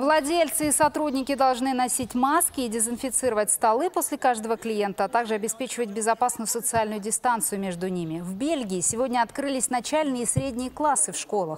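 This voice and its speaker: A woman's unremarkable speaking voice, fairly high in pitch, with lively intonation. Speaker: news anchor. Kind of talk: news reading. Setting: studio.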